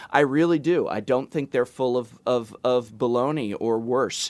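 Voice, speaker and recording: A man with an American accent speaks at a medium pitch with ordinary pitch variation. The recording is very clean, with a silent background. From US West Coast, Los Angeles. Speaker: YouTube product reviewer and English teacher. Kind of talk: casual podcast discussion. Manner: animated.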